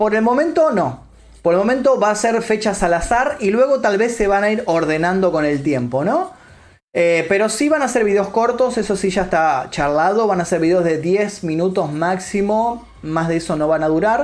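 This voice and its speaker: Speaking at a moderate pace, a man with a high-pitched voice uses lively intonation while keeping his loudness very even. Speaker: streamer and YouTuber. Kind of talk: live stream chat. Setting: live stream. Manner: casual, chatty.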